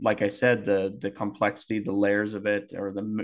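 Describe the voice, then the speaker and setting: This man has a plain, everyday voice with a fairly low pitch. The background is quiet. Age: 20s. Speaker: podcast co-host. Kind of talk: casual chat.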